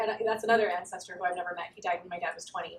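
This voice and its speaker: Ordinary pitch variation from a woman with an American accent. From Southern California. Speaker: writer and researcher. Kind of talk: academic talk. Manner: hesitant, many fillers.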